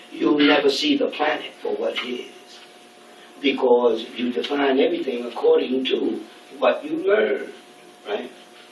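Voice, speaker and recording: A man with a New York accent speaks fairly slowly amid noticeable background noise and audible room echo. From New York City, Brooklyn. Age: 60s. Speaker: speaker at a student event. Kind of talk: lecture. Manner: halting.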